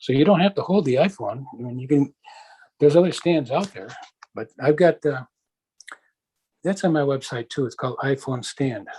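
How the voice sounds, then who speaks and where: Speaking at a moderate pace with long, frequent pauses, a man uses a fairly high pitch and a dark, mellow tone that is somewhat breathy, with ordinary pitch variation and big swings in loudness. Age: 60s. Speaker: interviewee with visual impairment, inventor. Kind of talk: interview conversation.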